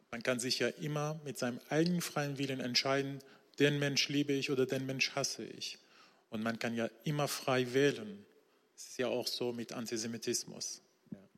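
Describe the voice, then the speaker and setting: A man with a Persian accent, medium-pitched, at a moderate pace, with ordinary pitch variation and big swings in loudness. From Iran, Isfahan. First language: Persian (speaking German). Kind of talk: church interview testimony. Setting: church stage with congregation.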